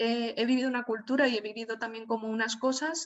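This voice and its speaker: Fairly high in pitch, a woman speaks at a moderate pace with fairly even intonation. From Spain, Alicante (Valencian region). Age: 20s. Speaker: writer and journalist. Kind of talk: online talk. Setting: video call. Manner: hesitant with many fillers.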